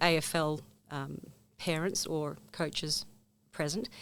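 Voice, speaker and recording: A woman speaks with a New Zealand accent. The recording is very clean, with a silent background. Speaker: former sports coach and volunteer. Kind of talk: interview. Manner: hesitant, many fillers.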